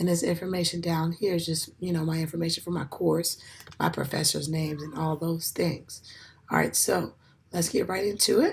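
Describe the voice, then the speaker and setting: Noticeable background noise sits under this recording. The female speaker's pitch is fairly low. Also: moderate pace. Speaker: education student. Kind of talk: class presentation. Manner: halting, many fillers.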